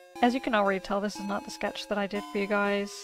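A woman speaks at a fairly quick pace in a dry sound with no echo, with clear music in the background. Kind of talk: tutorial commentary.

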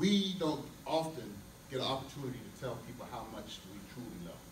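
Over noticeable background noise, a man speaks at a moderate pace with lively intonation. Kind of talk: speech to congregation. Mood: tender, reflective about loss. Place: church.

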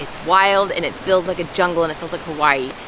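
A woman talks at a very fast pace in a dry sound with no echo, with noticeable background noise behind her. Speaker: travel vlogger. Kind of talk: casual vlog chat. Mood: delighted, wistful. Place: forest. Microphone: phone near.

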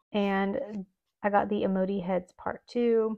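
A woman talks in a flat monotone. The background is quiet. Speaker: planner hobby vlogger. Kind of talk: casual haul chat.

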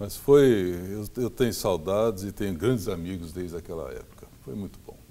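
At a moderate pace, a man speaks with fairly low pitch and ordinary pitch variation. His loudness swings widely. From Brazil, São Paulo state interior (Franca); São Paulo state, Brazil. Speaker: forestry engineering professor. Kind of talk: interview. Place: home room. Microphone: lapel.

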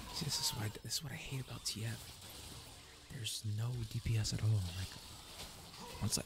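Whispering in a relaxed tone, the speaker moves at a moderate pace with hardly any pauses. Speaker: gamer. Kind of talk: casual gameplay commentary to camera. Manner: soft-spoken, relaxed. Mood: mildly frustrated. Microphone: studio mic.

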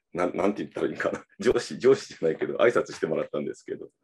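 A man talking at a fairly quick pace. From Japan, Kyushu (Fukuoka). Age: 30s. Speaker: politician. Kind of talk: casual conversation. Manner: halting. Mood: relaxed, smiling. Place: home room. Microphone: video call.

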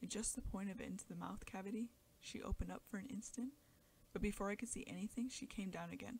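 Reading in an unforced voice

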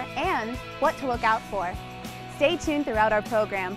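Clear music plays behind a woman speaking at a moderate pace. Her tone is upbeat, and the sound is dry with no echo. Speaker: infomercial host / spokesperson. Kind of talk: infomercial host narration. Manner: upbeat, friendly, polished. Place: shop.

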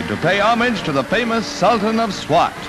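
Over music in the background, a man speaks at a high pitch in a raised, projected voice. His tone is upbeat, and his pace is fairly quick. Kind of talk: 1940s newsreel narration. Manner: upbeat, declamatory.

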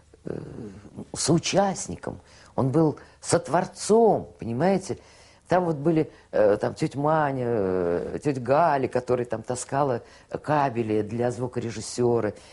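Very slow speech with long, frequent pauses against a quiet background. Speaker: television worker recalling Soviet TV. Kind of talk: interview answer recalling old television.

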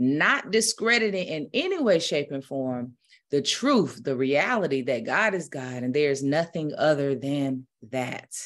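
A woman's very deep, low pitch at a fairly slow pace. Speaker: spiritual minister. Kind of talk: prayer, then casual sermon talk. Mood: calm, reverent. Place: home room. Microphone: webcam.

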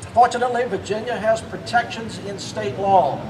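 A high-voiced man at a moderate pace, with noticeable background noise. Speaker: speaker. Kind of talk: prepared speech. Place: street.

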